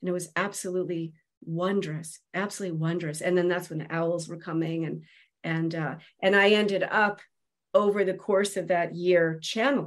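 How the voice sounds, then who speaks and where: In a plain, everyday voice, a woman speaks at a moderate pace with fairly even intonation against a quiet background. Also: fairly low pitch for a woman. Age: 50s. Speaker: Celtic medicine woman and seer. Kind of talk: casual chat.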